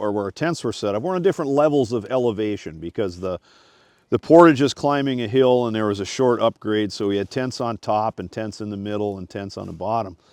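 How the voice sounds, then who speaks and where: A man with an American accent and a plain, everyday voice, medium pitch, lively intonation and a fairly quick pace, in a dry, close sound with no echo against a quiet background. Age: 60s. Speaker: search and rescue captain. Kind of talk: casual chat.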